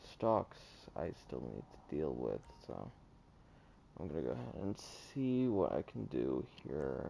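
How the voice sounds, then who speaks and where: A man speaks with a very deep, low pitch, a dark, mellow tone, vocal fry and lively intonation. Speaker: gaming streamer. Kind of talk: live gameplay commentary. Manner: halting, many fillers.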